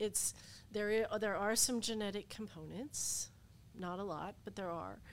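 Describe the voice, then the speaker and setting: In a very clean recording with a silent background, a woman with an American accent uses an unremarkable speaking voice at medium pitch and fairly even intonation. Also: moderate pace. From Appalachia, Southern Ohio. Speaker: lawyer and former veterans' appeals board chair. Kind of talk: interview.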